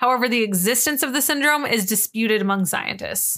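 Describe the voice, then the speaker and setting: On a very clean recording with a silent background, a woman speaks at a very fast pace in a fairly high pitch with a bright, sharp tone and ordinary pitch variation. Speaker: podcast co-host. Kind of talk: casual chat; reading aloud.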